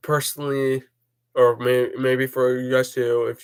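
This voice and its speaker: A man mumbles. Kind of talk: personal vlog talk. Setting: recorded on laptop. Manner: mumbling. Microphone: laptop mic, poor quality.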